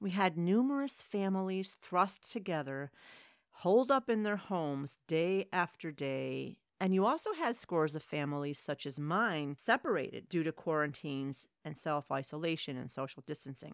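At a moderate pace, a woman with a plain, everyday voice speaks at a fairly low pitch with lively intonation, in a very clean recording with a silent background and a dry, close sound with no echo. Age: 50s. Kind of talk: solo religious commentary.

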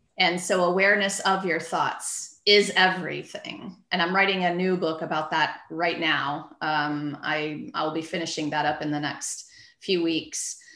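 A woman talks at a fairly slow pace with hardly any pauses, fairly low in pitch and with fairly even intonation. Audible room echo is present. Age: 50s. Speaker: physical therapist turned book publisher. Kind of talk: casual interview chat.

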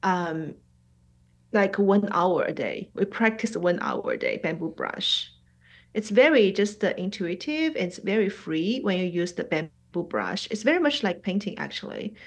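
Over a quiet background, a woman with a Chinese accent talks at a fairly slow pace, her intonation lively. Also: medium pitch for a woman. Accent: Mandarin-accented English. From Shanghai, China. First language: Mandarin. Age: 40s. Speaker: abstract painter and art teacher. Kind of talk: casual interview. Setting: video call. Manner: halting, many fillers.

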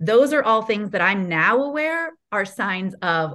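Her intonation is lively as a woman speaks with a Midwestern accent. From Ohio, US Midwest. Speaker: sales coach. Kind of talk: podcast interview.

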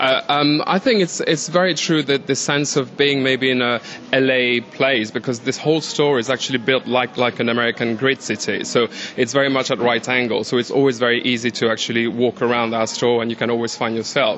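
A man at a medium pitch, fairly quick pace, very even loudness and hardly any pauses, over noticeable background noise. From France. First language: French. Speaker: store employee. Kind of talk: casual interview chat. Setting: department store.

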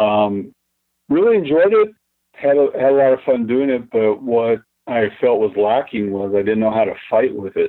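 A man with an American accent speaks in a normal speaking voice at a medium pitch. His pace is moderate, with ordinary pitch variation. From Texas. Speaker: martial arts grandmaster and retired police officer. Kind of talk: interview. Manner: casual, with frequent fillers.

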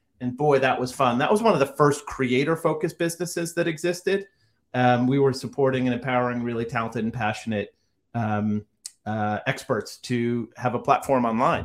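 A man with an American accent speaks at a fairly quick pace with medium pitch and ordinary pitch variation, on a very clean recording with a silent background. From Rhode Island, US. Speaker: tech entrepreneur. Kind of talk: interview. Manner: animated.

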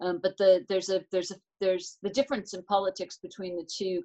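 This woman has an American accent. Her voice sits at a medium pitch. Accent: American, retained. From United States. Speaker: transport managing director. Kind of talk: live interview.

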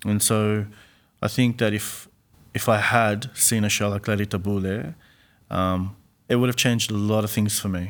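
With an Australian accent and a fairly low pitch, a man speaks in fairly even intonation, leaving long, frequent pauses, in a very clean recording with a silent background. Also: moderate pace. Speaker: playwright. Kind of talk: interview. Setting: studio.

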